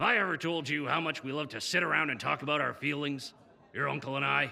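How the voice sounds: A put-on character voice, fast, with a bright, sharp tone, vocal fry and fairly even intonation. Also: man, fairly high pitch for a man.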